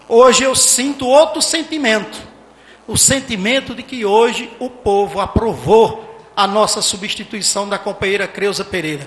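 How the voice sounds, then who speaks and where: Over noticeable background noise and audible room echo, a man talks at a high pitch and a moderate pace with lively intonation. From Salgueiro, Pernambuco, Brazil (Sertão). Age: 50s. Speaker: mayoral candidate, physician. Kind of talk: campaign debate speech. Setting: municipal council chamber with audience, broadcast on radio and internet.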